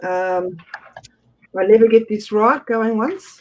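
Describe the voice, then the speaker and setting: A man speaks at a very slow pace in a high voice. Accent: Australian. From Australia. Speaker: auction host. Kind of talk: live auction calling.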